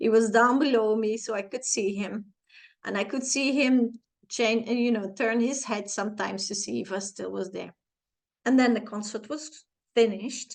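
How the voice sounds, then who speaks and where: A woman with a Flemish accent and fairly high pitch speaks at a moderate pace with fairly even intonation. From Flanders, Belgium. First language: Flemish (Dutch). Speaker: personal growth vlogger. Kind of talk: personal storytelling in a tutorial vlog. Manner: hesitant, with fillers and self-corrections.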